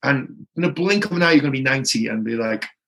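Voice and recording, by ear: Fast and lively in intonation, a man speaks at a medium pitch with a bright, sharp tone.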